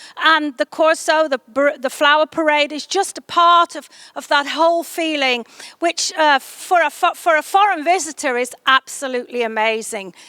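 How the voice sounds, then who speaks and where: A woman's high, raised, projected voice, bright and sharp in tone, at a moderate pace with ordinary pitch variation and a dry, close sound with no echo. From England, Stoke-on-Trent. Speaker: tourism promoter. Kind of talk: interview monologue. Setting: greenhouse. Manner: hesitant, with fillers and restarts.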